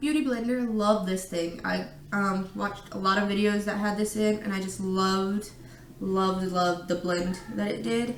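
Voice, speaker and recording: A woman talks at a moderate pace while noticeable background noise carries on behind her. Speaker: beauty vlogger. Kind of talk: casual makeup tutorial to camera. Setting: echoey room at home.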